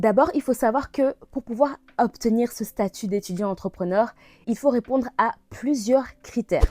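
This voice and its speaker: Dry and close with no echo, a woman's fairly high, dark, mellow voice moves at a fairly slow pace with ordinary pitch variation. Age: 20s. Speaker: e-business consultant and vlogger. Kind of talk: casual vlog tutorial.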